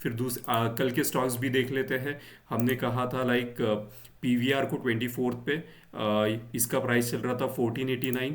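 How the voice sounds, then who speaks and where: A man's medium-pitched, monotone voice with flat intonation and very even loudness, plus audible room echo. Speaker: stock market YouTuber. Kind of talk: market analysis tutorial. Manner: slow; hesitant, many fillers.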